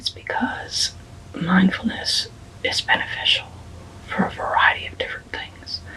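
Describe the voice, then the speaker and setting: A whispering voice keeps a moderate pace, broken by long, frequent pauses. Noticeable background noise is present throughout. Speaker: counselor. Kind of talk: ASMR educational talk to camera. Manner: whispered.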